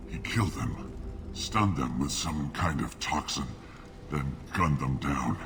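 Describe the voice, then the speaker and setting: Over loud background noise, a man puts on a character voice and speaks at a moderate pace. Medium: video game. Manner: calm, direct.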